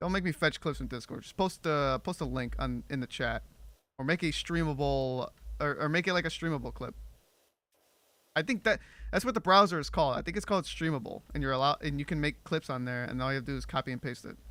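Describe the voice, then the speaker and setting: Very fast, animated speech in a very clean recording with a silent background. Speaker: streamer. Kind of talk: casual livestream chat while gaming. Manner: stumbles over words, repeats himself.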